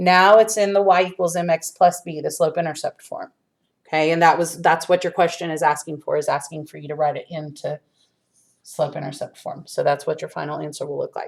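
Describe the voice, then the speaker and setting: A woman with a plain, everyday voice talks fairly quickly at a fairly low pitch, her intonation fairly even but her loudness swinging widely. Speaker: high school math teacher. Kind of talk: video lesson tutorial. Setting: empty classroom.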